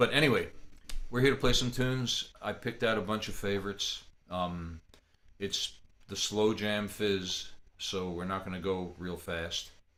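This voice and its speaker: A man with a bright, sharp tone and fairly low pitch speaks at a moderate pace with ordinary pitch variation. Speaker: fiddler teaching a slow jam. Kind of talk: online music workshop talk. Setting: video call from home office. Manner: quiet speaking voice; casual, halting with repetitions.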